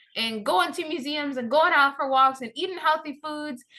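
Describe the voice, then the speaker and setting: Projecting her raised voice, a woman speaks high-pitched in a bright, sharp, animated tone with lively intonation. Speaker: day trader. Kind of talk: screen-share tutorial.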